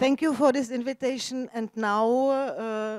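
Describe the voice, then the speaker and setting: Speaking with a Czech accent, a woman talks fairly slowly at a high pitch with fairly even intonation. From Czech Republic, Prague. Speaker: novelist. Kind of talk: moderated literary conversation on stage. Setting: festival stage with audience. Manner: halting, searching for English words.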